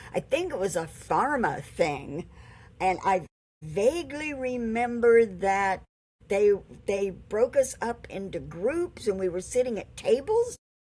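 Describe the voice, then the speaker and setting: On a very clean recording with a silent background, a woman with an American accent speaks fairly slowly at a fairly high pitch, her voice making very wide pitch swings. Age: 80s+. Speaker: COPD patient advocate. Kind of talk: casual interview chat.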